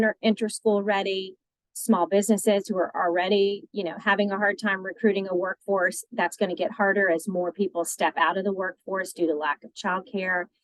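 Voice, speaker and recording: A woman talks at medium pitch and a moderate pace with ordinary pitch variation, in an unremarkable speaking voice. The sound is dry and close, with no echo. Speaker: childcare policy advocate. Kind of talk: presentation.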